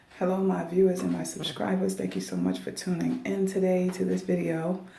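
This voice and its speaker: A woman speaks quietly at a moderate pace. There is audible room echo. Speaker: dialysis technician and video blogger. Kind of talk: casual advice monologue. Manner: quiet, talking low.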